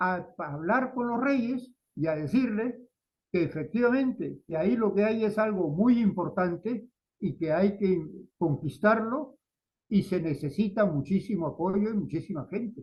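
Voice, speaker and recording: A man's high-pitched voice with lively intonation. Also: fairly slow pace. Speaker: lecturer giving a talk to Spanish students. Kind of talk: lecture. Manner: halting, with fillers and repetitions.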